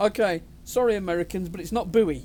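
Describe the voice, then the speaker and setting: Speaking at a moderate pace, a man has a high pitch, a dark, mellow tone and ordinary pitch variation. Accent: British. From Britain. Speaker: gaming YouTuber. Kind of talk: gameplay commentary. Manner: casual.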